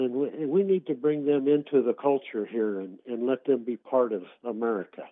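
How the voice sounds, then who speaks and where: A man with an unremarkable speaking voice talks at a medium pitch with ordinary pitch variation. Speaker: radio caller. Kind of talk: casual call-in conversation. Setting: phone call.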